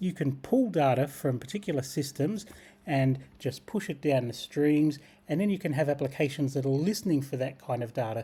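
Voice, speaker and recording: In a very clean recording with a silent background, a man with an Australian accent speaks at a moderate pace and a fairly high pitch. His tone is dark and mellow, somewhat breathy, with ordinary pitch variation. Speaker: tech tutorial creator. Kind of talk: screen-share tutorial.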